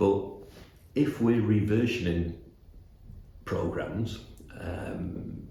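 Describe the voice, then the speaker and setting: A man with a Mancunian accent and ordinary pitch variation, amid noticeable background noise and audible room echo. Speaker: animation studio executive. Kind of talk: interview. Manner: halting, many repetitions and fillers.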